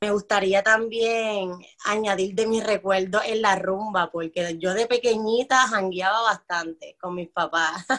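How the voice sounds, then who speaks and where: At a fairly slow pace and with hardly any pauses, a woman speaks at medium pitch with fairly even intonation. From Puerto Rico, Loíza. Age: 20s. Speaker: cultural organizer and community educator. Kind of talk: interview.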